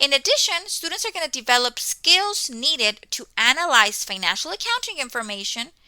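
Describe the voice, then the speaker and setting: Raised and projected, a woman's high voice with a Spanish accent has a bright, sharp tone, very wide pitch swings and a fairly quick pace. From Mexico. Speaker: college instructor. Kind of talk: course welcome talk. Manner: conversational, frequent 'okay' fillers.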